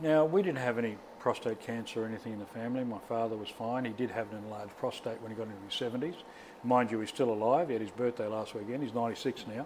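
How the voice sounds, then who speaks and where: A man's medium-pitched voice at a very fast pace, with ordinary pitch variation. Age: 60s. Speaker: prostate cancer survivor. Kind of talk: interview answer.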